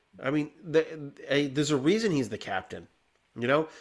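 A man's fairly high voice on a very clean recording with a silent background. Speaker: podcast host; hospital healthcare worker. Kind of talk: casual chat. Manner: rambling, filler-heavy.

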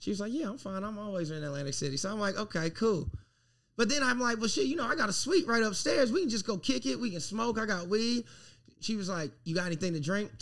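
A man with an American accent speaks very fast at a high pitch, his voice swinging very widely. The recording is very clean, with a silent background. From US South, South Carolina. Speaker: podcast host, comedian. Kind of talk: casual chat.

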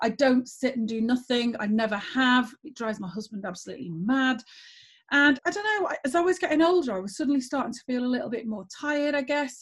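The speaker is a woman with a normal speaking voice. Her pitch is fairly high and her pace moderate. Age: 40s. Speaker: former school principal and geography teacher. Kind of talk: interview conversation.

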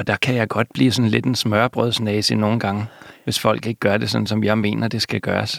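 Flat and monotone in intonation, a man's fairly low voice proceeds at a moderate pace. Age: 40s. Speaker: novelist. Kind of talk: interview. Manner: halting, hesitant with repetitions.

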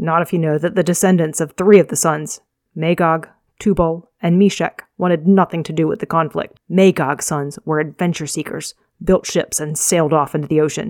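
A normal speaking voice at a moderate pace, dry and close with no echo. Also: woman, fairly low pitch for a woman. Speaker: fantasy author reading own novel. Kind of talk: audiobook-style reading of a fantasy novel chapter, with dialogue between characters. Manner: measured, storyteller delivery with voiced character dialogue; chatty, upbeat intro.

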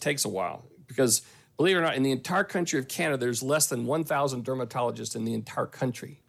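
Very fast, lively speech with a strong Southern US accent. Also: man. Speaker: pharmacist, clinical services team member. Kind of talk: casual podcast conversation. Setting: remote recording from Saskatchewan.

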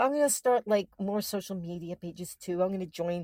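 A normal speaking voice at a fairly quick pace, with ordinary pitch variation and a dry, close sound with no echo. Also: woman. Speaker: podcast co-host. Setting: remote call.

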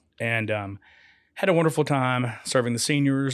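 On a very clean recording with a silent background, a man talks in an ordinary speaking voice with ordinary pitch variation. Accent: American. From Florida. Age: 50s. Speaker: farm shop owner. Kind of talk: casual radio interview. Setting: studio.

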